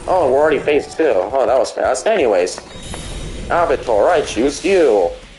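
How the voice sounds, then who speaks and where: Music plays behind a man speaking at a moderate pace. His loudness stays very even. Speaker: gaming livestreamer. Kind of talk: live gameplay commentary. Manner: animated; stuttering.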